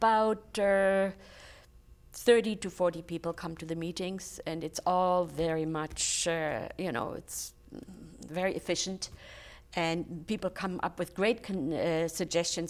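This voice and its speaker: Her pitch medium and its variation ordinary, a woman speaks fairly slowly in a German accent. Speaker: charity volunteer, retired teacher. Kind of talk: interview.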